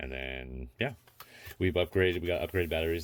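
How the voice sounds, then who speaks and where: A man with a very deep, low pitch talks at a fairly quick pace, using ordinary pitch variation. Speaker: RC hobby youtuber. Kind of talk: tutorial. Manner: fast.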